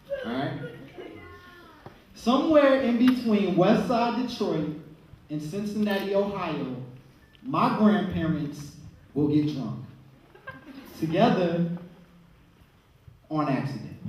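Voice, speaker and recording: Over noticeable background noise, a man with a high voice speaks very slowly, his pitch swinging very widely between long, frequent pauses. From Chicago. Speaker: poet. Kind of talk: spoken word poetry performance.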